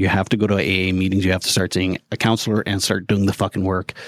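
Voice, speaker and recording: A man with a Canadian prairie accent speaks in a fairly low voice, recorded with a dry, close sound and no echo. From Canada. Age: 40s. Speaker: mental health advocate and podcaster. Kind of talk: casual interview. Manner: hesitant, repeats words.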